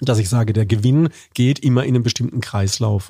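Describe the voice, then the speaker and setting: On a very clean recording with a silent background and a dry, close sound with no echo, a man with a medium pitch and a dark, mellow tone speaks somewhat breathily at a fairly quick pace. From Baden, southwestern Germany. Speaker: corporate communications manager and lecturer. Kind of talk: interview conversation.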